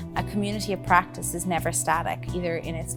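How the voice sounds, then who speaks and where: Someone speaks with an Irish accent while music plays in the background. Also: woman. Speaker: paediatric complex care physician. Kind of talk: interview answer.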